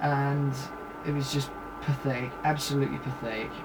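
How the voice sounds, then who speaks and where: A man with a British accent, fairly high in pitch, at a moderate pace, over noticeable background noise. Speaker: film reviewer. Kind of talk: video review monologue. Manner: hesitant, many fillers.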